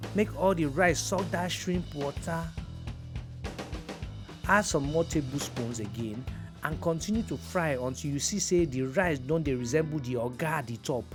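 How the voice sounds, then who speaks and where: Over music in the background, a man with a fairly high pitch speaks at a moderate pace in very wide pitch swings, leaving long, frequent pauses. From Nigeria. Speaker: actor and presenter. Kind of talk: cooking tutorial to camera. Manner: playful, humorous.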